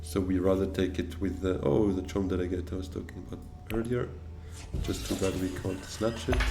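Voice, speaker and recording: A man with a French accent speaks at a fairly quick pace in a very deep, low pitch with fairly even intonation. Noticeable background noise and audible room echo are present. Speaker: board game streamer. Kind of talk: gameplay commentary. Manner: thinking aloud with hesitations.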